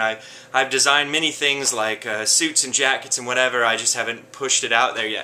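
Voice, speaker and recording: With an American accent, a man of medium pitch talks at a fairly quick pace with fairly even intonation over noticeable background noise. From US South, North Florida. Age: 30s. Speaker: fashion designer and model. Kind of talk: casting self-introduction. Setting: his workshop. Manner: hesitant, many fillers.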